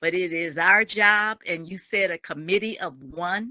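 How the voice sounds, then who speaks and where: A woman's medium-pitched voice with a bright, sharp tone and ordinary pitch variation at a fairly slow pace, dry and close with no echo, over a quiet background. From New Orleans, Louisiana. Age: 70s. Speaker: community activist. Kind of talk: audience comment.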